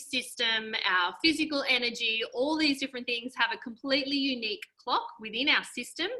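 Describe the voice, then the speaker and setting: Speaking fairly quickly with an Australian accent, a woman uses an animated tone, her high voice bright and sharp. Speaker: health coach. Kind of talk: webinar presentation. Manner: fast.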